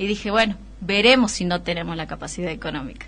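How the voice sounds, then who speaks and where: The speech moves at a fairly quick pace with vocal fry. Intonation stays fairly even. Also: woman. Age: 30s. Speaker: city councillor. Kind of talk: radio interview.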